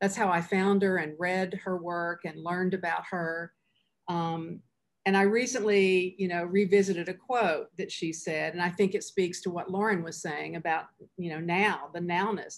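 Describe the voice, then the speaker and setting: A woman with an ordinary speaking voice, medium pitch, fairly even intonation and moderate pace, against a quiet background. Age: 60s. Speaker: philanthropy leader. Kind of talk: panel discussion.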